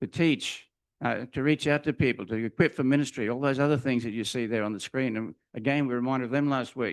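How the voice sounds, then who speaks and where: Man with an Australian accent, medium pitch and ordinary pitch variation, at a fairly quick pace, dry and close with no echo over a quiet background. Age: 80s+. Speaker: retired teacher and minister preaching at church. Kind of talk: sermon. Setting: church.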